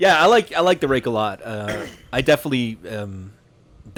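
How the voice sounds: The speaker reads in a natural reading voice with lively intonation.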